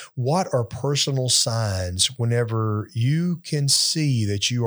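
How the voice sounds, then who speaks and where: On a very clean recording with a silent background, a man with an unremarkable speaking voice talks at medium pitch with lively intonation. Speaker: pastor. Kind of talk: casual chat.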